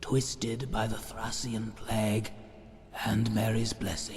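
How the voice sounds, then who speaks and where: A man speaks in a put-on character voice. It is clearly an act. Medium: machinima. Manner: calm, explanatory.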